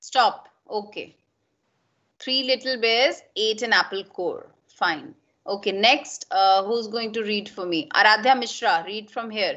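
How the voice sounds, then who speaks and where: A woman at a fairly slow pace with ordinary pitch variation, over a quiet background. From India. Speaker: school English teacher. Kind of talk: online class lesson. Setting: video call. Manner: code-switching Hindi and English. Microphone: video call.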